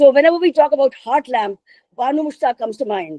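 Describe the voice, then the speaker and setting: This woman has a high pitch and a dark, mellow tone. The sound is dry and close, with no echo. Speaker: literature professor. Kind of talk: lecture.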